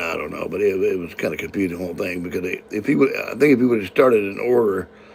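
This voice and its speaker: The background has noticeable noise. A man talks with an American accent. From California. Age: 60s. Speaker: live-stream host. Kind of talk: casual live-stream chat. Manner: halting, many repetitions and fillers.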